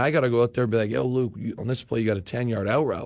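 In an Ontario accent, a man speaks with a fairly low pitch. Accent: Canadian (Ontario). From Windsor, Ontario, Canada. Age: 30s. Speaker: professional football player. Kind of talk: casual interview chat. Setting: studio.

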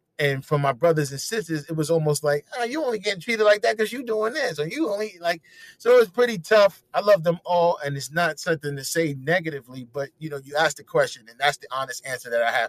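A man talks at a very fast pace and high pitch with lively intonation. His loudness swings widely, and the sound is dry and close with no echo. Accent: New York. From New York, Harlem. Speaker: comedian and radio personality. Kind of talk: casual interview chat.

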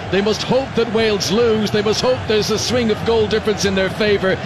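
There is noticeable background noise behind a man with a high pitch. He talks at a fairly quick pace with fairly even intonation. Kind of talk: live radio score update, reports from another match. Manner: brisk and crisp, clearly and urgently delivered.

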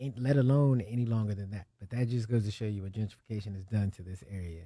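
On a very clean recording with a silent background, a man with an American accent talks at a fairly quick pace in a somewhat breathy voice with ordinary pitch variation. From Ohio. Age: young. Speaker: rapper. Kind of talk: casual chat.

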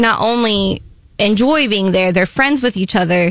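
In a normal speaking voice, a woman with an American accent speaks at a fairly slow pace in a medium pitch. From Columbia, Missouri. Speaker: coffee shop owner. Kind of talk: radio interview.

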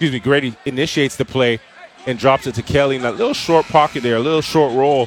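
Over noticeable background noise, a man speaks very fast at a medium pitch. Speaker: basketball color commentator. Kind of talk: live game analysis. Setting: radio broadcast booth. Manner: conversational, explanatory, with filler phrases.

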